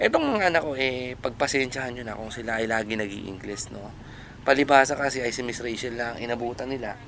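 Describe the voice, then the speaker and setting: A normal speaking voice moves at a fairly quick pace with fairly even intonation. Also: man, medium pitch for a man. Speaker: vlogger and home-based freelancer. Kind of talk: casual vlog narration. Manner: playful, joking.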